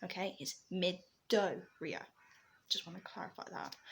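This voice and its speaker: With vocal fry in her voice, a woman talks at a moderate pace. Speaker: vlogger and digital artist. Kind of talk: casual vlog monologue. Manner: hesitant, many fillers.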